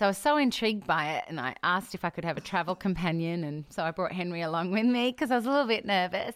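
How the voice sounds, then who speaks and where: A woman with an Australian accent talks at a very fast pace with lively intonation and hardly any pauses. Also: medium pitch for a woman. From Australia, Adelaide. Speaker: pastor. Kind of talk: interview.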